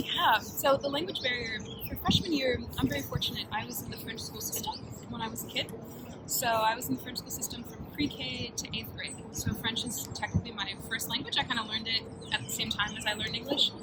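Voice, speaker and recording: Over noticeable background noise, a woman speaks at a fairly high pitch and a fairly quick pace with lively intonation. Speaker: university student, resident assistant. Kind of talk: casual chat. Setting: eating a meal on camera.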